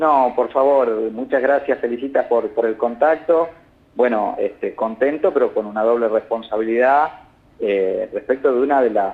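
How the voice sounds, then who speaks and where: A man's medium-pitched voice with a northern Argentine accent, ordinary pitch variation, a moderate pace and very even loudness. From northern Argentina (Salta). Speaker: telecom regulator board member. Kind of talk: interview.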